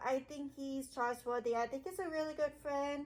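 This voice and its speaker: A woman speaks loudly at a high pitch. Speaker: gaming video creator. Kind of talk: casual vlog commentary. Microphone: muffled by face mask.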